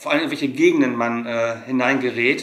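There is audible room echo as a man speaks at a moderate pace. His pitch varies in an ordinary way. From Germany. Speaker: travel vlogger. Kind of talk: casual chat. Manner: hesitant with many fillers. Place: home room.

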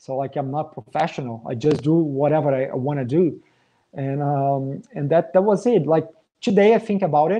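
With a Portuguese accent, a man speaks in a fairly high pitch with a dark, mellow tone. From Brazil. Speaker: metal drummer. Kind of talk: live Q&A. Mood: relaxed, friendly. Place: home room. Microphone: webcam.

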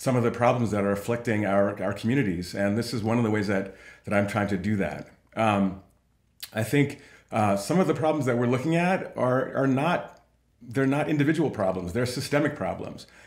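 A man in an American accent talks at a fairly quick pace with ordinary pitch variation, his voice carrying audible room echo over a quiet background. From New York City (Harlem); New York. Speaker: nonprofit CEO; guest. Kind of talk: interview. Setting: video call. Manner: fast. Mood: earnest, reflective. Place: home room.

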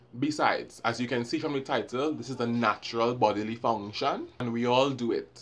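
At a fairly quick pace, a man speaks. His accent is Trinidadian. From Trinidad and Tobago. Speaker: vlogger. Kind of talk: storytime, casual talk to camera. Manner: humorous, animated. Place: home room. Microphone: phone near.

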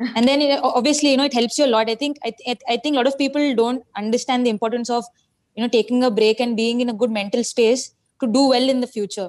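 A woman speaks in a high voice with fairly even intonation against a quiet background. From India. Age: 20s. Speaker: cricketer. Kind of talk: TV interview. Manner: hesitant, many fillers. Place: home room. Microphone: video call.

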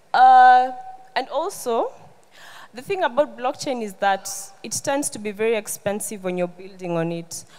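A woman with a Kenyan accent at a moderate pace, lively intonation, big swings in loudness, and long, frequent pauses. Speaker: tech community founder and conference speaker. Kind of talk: conference talk. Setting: stage with audience. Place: stage. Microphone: handheld.

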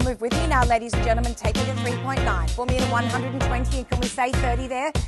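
Over loud background music, a woman talks at a very fast pace. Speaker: auctioneer. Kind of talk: live property auction calling. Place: garden.

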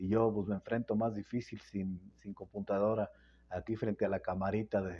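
A man's dark, mellow voice, fairly low in pitch, at a fairly slow pace with fairly even intonation. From Querétaro, Mexico; Mexico. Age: 70s. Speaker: political youtuber, former local official; political vlogger. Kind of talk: casual monologue to phone camera. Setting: phone camera at home. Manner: halting, many repetitions. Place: home room. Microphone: phone mic; lapel.

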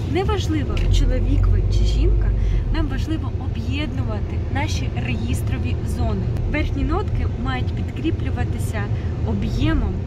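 A woman talks at a fairly slow pace over loud background noise, her voice dry with no echo. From Ukraine. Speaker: vocal teacher. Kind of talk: tutorial. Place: car. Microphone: phone near.

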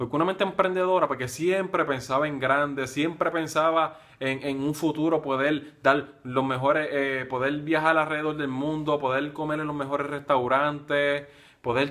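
A man speaks at a moderate pace with hardly any pauses. His pitch is fairly high and his intonation fairly even. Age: 20s. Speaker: nurse and online marketer; online business blogger. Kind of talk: personal introduction video. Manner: halting. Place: home room. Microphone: phone near.

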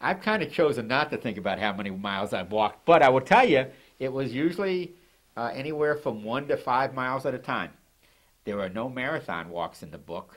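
A man with an American accent talks at a fairly quick pace, his pitch swinging very widely. The background is quiet. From Baltimore, Maryland. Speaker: physician and travel author; interviewee. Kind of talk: casual interview. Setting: studio. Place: studio.

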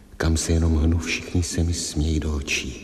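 In a put-on character voice, a man sounds hoarse and very deep, with light background noise and slight echo. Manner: sorrowful, earnest.

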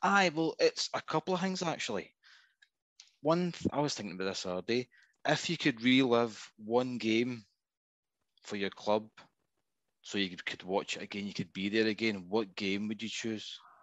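This man, speaking in a Scottish accent, has a medium pitch and lively intonation at a moderate pace. He leaves long, frequent pauses against a quiet background. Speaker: football fan caller. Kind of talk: casual chat. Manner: halting.

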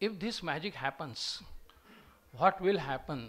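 A man talks with lively intonation in a Marathi Indian accent. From Maharashtra, India. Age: 60s. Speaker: retired professor. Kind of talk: lecture. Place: hall. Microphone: podium.

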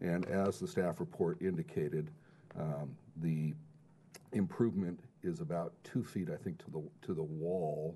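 Over light background noise, a man with a very deep, low voice and a dark, mellow tone speaks at a fairly slow pace, using ordinary pitch variation and long, frequent pauses. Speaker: planning consultant; presenter. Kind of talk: public hearing testimony. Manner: formal. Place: meeting room.

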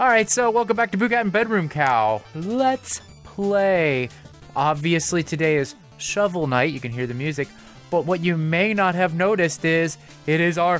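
Background music is present. The speech moves at a moderate pace. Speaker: let's play co-host. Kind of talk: casual vlog chat. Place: home room.

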